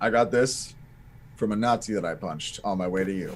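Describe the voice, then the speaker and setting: Putting on a gruff character voice, a man speaks at a fairly quick pace with a fairly low pitch and ordinary pitch variation, against clear background noise. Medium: actual play. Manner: gruff, grunting.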